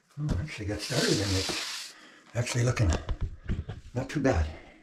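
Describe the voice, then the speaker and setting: A mumbling man at a medium pitch, moderate in pace, with very wide pitch swings. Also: long, frequent pauses. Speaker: off-grid homesteader vlogger. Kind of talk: casual DIY vlog narration. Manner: mumbling to himself.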